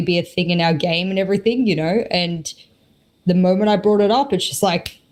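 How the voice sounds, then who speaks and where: A woman with an Australian accent, at a medium pitch and a fairly quick pace. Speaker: esports caster and analyst. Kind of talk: podcast interview. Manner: animated.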